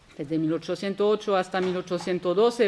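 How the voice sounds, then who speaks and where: A woman talks with a French accent. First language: French (speaking Spanish). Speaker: historian, conference speaker. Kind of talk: academic lecture. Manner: halting, with repetitions.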